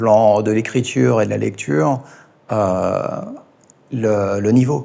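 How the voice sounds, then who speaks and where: A man talks at a fairly low pitch with lively intonation. Vocal fry runs through his voice. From France, Ain department. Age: 40s. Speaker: teacher. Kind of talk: interview. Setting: in-person interview in Thailand. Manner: halting, many hesitations.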